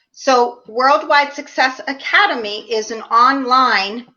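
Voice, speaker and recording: With a Philadelphia accent, a woman talks at a high pitch with lively intonation. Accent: Philadelphia American. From US Northeast, Philadelphia. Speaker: leadership trainer and professor. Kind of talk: interview.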